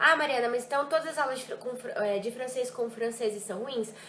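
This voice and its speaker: Speaking in an animated tone, a woman with a high pitch comes through over noticeable background noise. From Brazil, Ribeirão Preto (São Paulo state). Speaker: French teacher. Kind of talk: vlog reflection.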